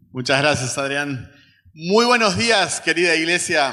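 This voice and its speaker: A man's voice is heard with audible room echo. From Uruguay. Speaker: missionary, guest preacher. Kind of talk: sermon. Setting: church service with congregation.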